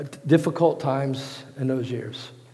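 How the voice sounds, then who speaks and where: Amid audible room echo, a somewhat breathy man with an American accent speaks with fairly even intonation. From Virginia, US. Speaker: pastor. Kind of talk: sermon.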